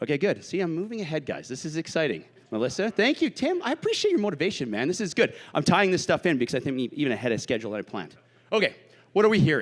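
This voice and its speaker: Loud and energetic, a man speaks at a very fast pace with a fairly high pitch, very wide pitch swings, and vocal fry. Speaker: tech sales executive. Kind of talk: sales pitch. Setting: stage with audience. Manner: fast, energetic.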